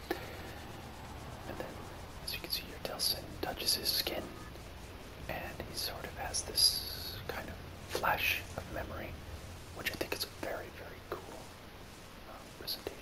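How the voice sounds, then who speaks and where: Over noticeable background noise, a man whispers at a fairly slow pace, with long, frequent pauses. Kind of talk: ASMR video game let's play commentary.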